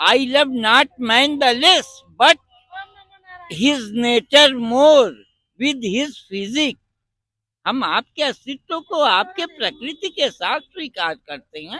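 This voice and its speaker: A man with an extremely high pitch uses a raised, projected voice with a bright, sharp tone and lively intonation. His loudness swings widely, and the sound is dry and close with no echo. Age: 70s. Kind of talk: interview. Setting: outdoors at a religious fair.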